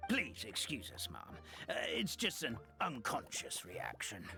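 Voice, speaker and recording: Over clear background music, someone uses a put-on character voice at a fairly slow pace. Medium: video game. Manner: courteous, formal.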